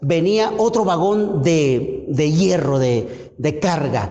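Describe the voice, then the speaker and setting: A man speaks very slowly in a Colombian Caribbean accent, his pitch swinging very widely while his loudness stays very even. Noticeable background noise and audible room echo surround him. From Colombia, Caribbean coast (Cesar). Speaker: pastor. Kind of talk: sermon. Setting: church. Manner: halting, repeats words.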